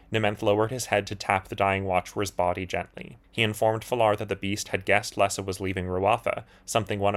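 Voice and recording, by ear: In a natural voice, the text is read aloud with intonation that stays fairly even.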